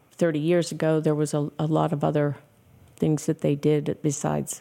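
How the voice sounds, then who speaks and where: The speaker is a woman with an American accent. Her tone is dark and mellow. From Pittsburgh, Pennsylvania. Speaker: business owner. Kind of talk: interview.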